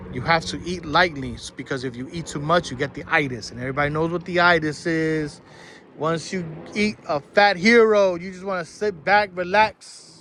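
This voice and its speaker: A New York accent at a moderate pace, with an animated tone and lively intonation. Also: man. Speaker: school bus driving instructor. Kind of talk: tutorial.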